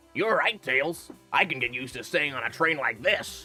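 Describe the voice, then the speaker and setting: A man's fairly high put-on character voice at a moderate pace, with faint music in the background. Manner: dumb, oafish.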